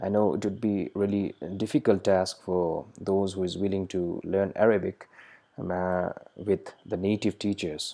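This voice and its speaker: Fairly low and dark, mellow in tone, a man's voice holds fairly even intonation at a moderate pace. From Nepal. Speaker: language teacher, student of Arabic. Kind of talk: tutorial. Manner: halting, many fillers.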